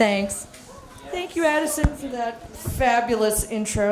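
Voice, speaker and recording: The voice shows ordinary pitch variation. Audible room echo and noticeable background noise fill the recording. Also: woman. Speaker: marine geologist. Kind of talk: lecture. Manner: loud.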